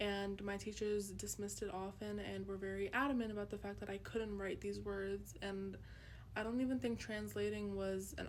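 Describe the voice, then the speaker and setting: A woman talks at a moderate pace over noticeable background noise, with audible room echo. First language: Urdu. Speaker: student. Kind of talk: class presentation; personal narrative in Urdu. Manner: casual with frequent fillers.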